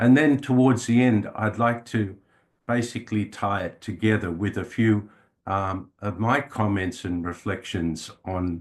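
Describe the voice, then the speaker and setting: Against a quiet background, a man with an Australian accent talks fairly slowly in a fairly low voice with ordinary pitch variation. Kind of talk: talk to an audience. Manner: hesitant, many fillers.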